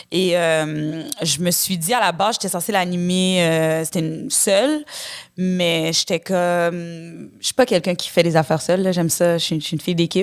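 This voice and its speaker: In a very clean recording with a silent background, a woman's fairly low voice comes through. She talks at a moderate pace with ordinary pitch variation. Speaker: actress. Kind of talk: casual chat. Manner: animated.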